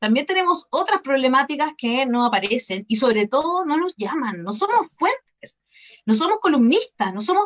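In a Chilean accent, a woman's high voice swings very widely in pitch, recorded dry and close with no echo. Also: moderate pace. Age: 40s. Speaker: journalist. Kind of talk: casual chat.

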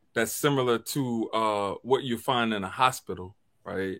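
In a very clean recording with a silent background, a man with an American accent uses an ordinary speaking voice at a medium pitch, with ordinary pitch variation and a fairly slow pace. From US South. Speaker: podcast host. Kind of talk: casual chat.

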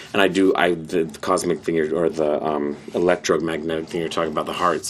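Speaking at a fairly quick pace with hardly any pauses, a man uses a very deep, low pitch and monotone, flat intonation. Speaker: former barista and postal worker. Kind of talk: casual chat. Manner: halting, with many fillers.

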